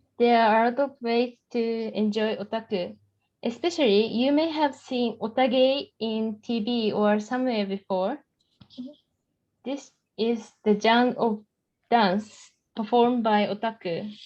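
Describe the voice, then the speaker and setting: A woman speaking fairly slowly with a Japanese accent. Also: fairly high pitch for a woman, fairly even intonation. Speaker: student. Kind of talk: class presentation.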